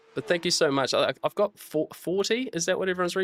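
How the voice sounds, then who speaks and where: Delivered at a very fast pace in a New Zealand accent, the speech comes through a very clean recording with a silent background and a dry, close sound with no echo. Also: man. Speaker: sim racing streamer. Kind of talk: live stream commentary. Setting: live stream. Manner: halting.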